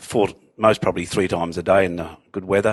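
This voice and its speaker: With an Australian accent, this man speaks fairly quickly in a very deep, low voice and fairly even intonation. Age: 60s. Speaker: surf lifesaver and former policeman. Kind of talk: casual chat.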